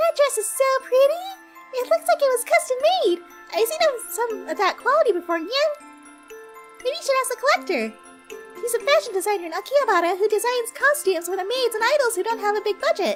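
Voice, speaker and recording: Over clear background music, a put-on character voice rattles along at a very fast pace yet breaks off in long, frequent pauses. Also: woman, extremely high pitch for a woman. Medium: virtual streamer. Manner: cutesy, bubbly, ends lines with nyan.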